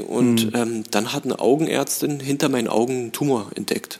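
A man has an unremarkable speaking voice, medium in pitch with ordinary pitch variation. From Berlin (Charlottenburg), moved from Tehran at five. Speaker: actor and film director. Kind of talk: casual interview chat.

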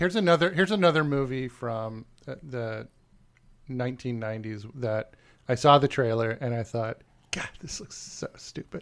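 A man with a normal speaking voice talks at a moderate pace in a medium pitch, his intonation lively and his loudness swinging widely. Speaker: podcast co-host. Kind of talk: casual chat. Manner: joking, playful.

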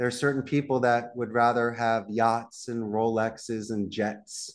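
Someone with a Philadelphia accent talks at a moderate pace against a quiet background. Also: man. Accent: Philadelphia American. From Northeast Philadelphia. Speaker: call center CEO. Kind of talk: podcast interview. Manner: animated.

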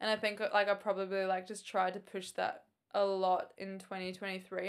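A woman with an Australian accent speaks at a medium pitch and a moderate pace. The recording is very clean, with a silent background. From Queensland, Australia. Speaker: triathlete. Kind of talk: casual chat.

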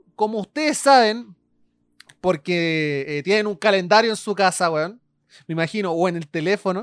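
A woman's medium-pitched voice with lively intonation and a Chilean accent, at a moderate pace. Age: 20s. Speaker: podcast host. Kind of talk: casual chat.

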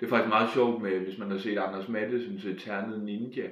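There's audible room echo as a man speaks in a fairly low pitch. He goes at a fairly slow pace with fairly even intonation. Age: 20s. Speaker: stand-up comedian. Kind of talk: casual interview. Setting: at home.

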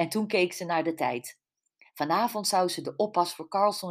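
The speaker uses an unforced reading voice. The background is quiet.

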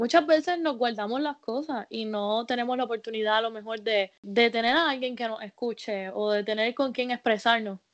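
A woman talks at a moderate pace with hardly any pauses, at a fairly high pitch. Hers is an unremarkable speaking voice with ordinary pitch variation. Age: 20s. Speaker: podcast host, health professional. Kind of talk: casual interview chat.

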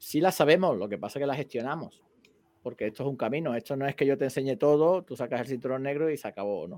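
A man with an ordinary speaking voice talks at a medium pitch with lively intonation. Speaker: karate teacher, co-host. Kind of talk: casual chat.

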